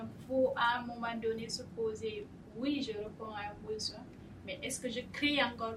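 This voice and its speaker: The speech has a monotone, flat intonation. Audible room echo surrounds it. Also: woman. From Guinea, West Africa. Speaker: startup founder. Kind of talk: panel discussion. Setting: studio.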